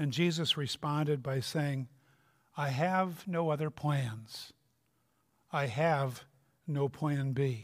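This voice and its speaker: In a very clean recording with a silent background, a man with a Minnesota accent and fairly high pitch talks at a very slow pace, with long, frequent pauses, very even loudness and fairly even intonation. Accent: Upper Midwest (Minnesota) American. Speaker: retired pastor, guest preacher. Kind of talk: sermon. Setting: church.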